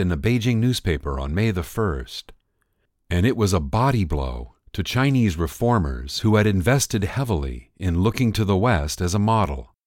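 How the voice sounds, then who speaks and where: Delivered at a moderate pace, the speech moves through very wide pitch swings. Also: man, very clean recording, silent background. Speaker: narrator. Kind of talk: history documentary narration, scripted and read aloud. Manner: measured, formal, even-paced; clear and authoritative, storytelling tone.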